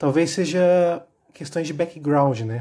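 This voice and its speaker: A man speaks at a fairly slow pace in a dark, mellow tone with ordinary pitch variation, on a very clean recording with a silent background. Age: 20s. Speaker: architecture student, podcast guest. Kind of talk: casual chat.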